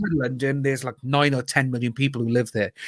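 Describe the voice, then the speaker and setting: This is a man speaking. He has a Cardiff accent. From Wales, Cardiff. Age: 30s. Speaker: YouTuber guest on live stream. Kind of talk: casual chat.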